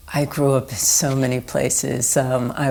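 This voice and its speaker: A woman with an American accent speaks at a very deep, low pitch in monotone, flat intonation. Her pace is very slow, and there is noticeable background noise. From US East Coast, Philadelphia. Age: 60s. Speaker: artist. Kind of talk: oral history interview. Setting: indoor recording room.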